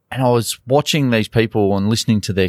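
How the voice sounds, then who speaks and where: Speaking at a fairly quick pace with an Australian accent, a man with a fairly low voice and ordinary pitch variation comes through a dry, close sound with no echo on a very clean recording with a silent background. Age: 40s. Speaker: golf coach. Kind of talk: interview.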